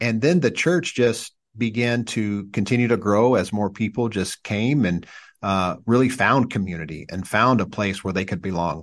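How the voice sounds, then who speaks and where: Against a quiet background, a man with an American accent uses a normal speaking voice, fairly low in pitch with ordinary variation, at a moderate pace. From US Midwest, southern Indiana. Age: 40s. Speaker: pastor. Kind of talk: casual chat.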